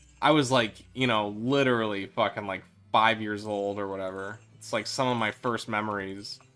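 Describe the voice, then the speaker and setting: With music in the background, a man with a fairly low pitch and a slight Midwestern accent talks at a fairly slow pace. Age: 30s. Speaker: video game streamer. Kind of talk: casual gaming livestream commentary. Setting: livestream.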